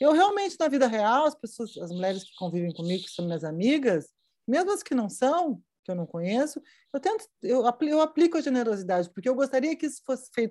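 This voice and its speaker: A woman talks at a fairly quick pace in a high pitch with a dark, mellow tone. Her pitch swings very widely and her loudness rises and falls by big amounts. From southern Brazil (Rio Grande do Sul). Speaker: fashion journalist and writer. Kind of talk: casual interview chat.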